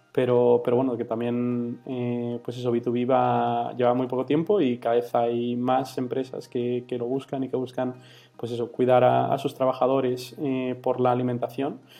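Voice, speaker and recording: A man talks fairly slowly at a medium pitch. His intonation is monotone and flat. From Galicia, Spain (Vigo). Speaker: startup founder. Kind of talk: interview. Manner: halting, many fillers.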